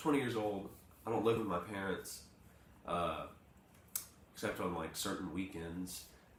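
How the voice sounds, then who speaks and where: Fairly slow male speech in an audibly echoing room, noticeable background noise behind it. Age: 20s. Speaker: morning show co-host. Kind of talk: casual chat.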